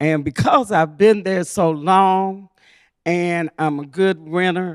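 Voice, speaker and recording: Very slow speech on a very clean recording with a silent background. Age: 70s. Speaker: audience member. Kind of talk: public comment. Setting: public library meeting room.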